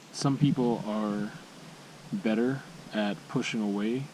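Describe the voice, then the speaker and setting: A man speaks quietly at a fairly slow pace over noticeable background noise. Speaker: vlogger. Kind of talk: personal vlog monologue. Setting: outdoors at a campsite. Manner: quiet, low voice; halting, hesitant.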